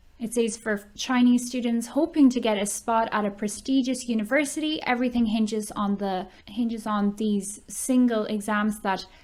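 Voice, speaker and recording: Somewhat breathy and fairly high in pitch, a woman speaks at a moderate pace with fairly even intonation in a very clean recording with a silent background. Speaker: online ESL teacher. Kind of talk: reading news article aloud.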